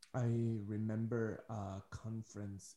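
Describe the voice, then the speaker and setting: A man speaks in a fairly low, somewhat breathy voice with a dark, mellow tone and fairly even intonation. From Ecuador. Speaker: podcast host. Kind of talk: casual interview.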